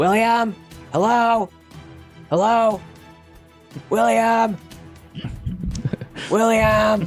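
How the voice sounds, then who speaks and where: Over clear music in the background, a put-on character voice with a fairly high pitch speaks at a very slow pace. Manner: calling out.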